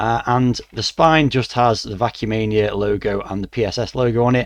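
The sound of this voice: A man talks at a moderate pace and a medium pitch, keeping his intonation fairly even.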